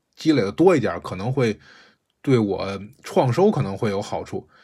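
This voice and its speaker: In a very clean recording with a silent background, a man speaks. His medium pitch comes at a moderate pace. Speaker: podcast host recounting volunteer experience. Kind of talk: casual storytelling monologue. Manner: casual, digressive.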